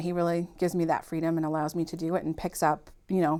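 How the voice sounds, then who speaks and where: A woman with a fairly low pitch and a slight Boston accent at a very fast pace, with ordinary pitch variation. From Massachusetts, Malden (Boston area). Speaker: podcast guest, working mother. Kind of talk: casual chat.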